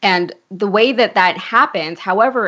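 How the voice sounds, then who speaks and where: A woman's plain, everyday voice with an American accent, medium pitch and ordinary pitch variation. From Connecticut. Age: 30s. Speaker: political commentator. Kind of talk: casual political discussion.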